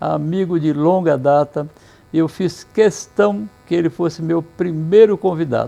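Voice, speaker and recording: This man's voice has a dark, mellow tone and a fairly high pitch with ordinary variation. He talks at a fairly slow pace. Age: 70s. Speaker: interview show host, pharmacy chain founder. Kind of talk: casual interview chat; presenter intro to camera. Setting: walking outdoors on a city avenue.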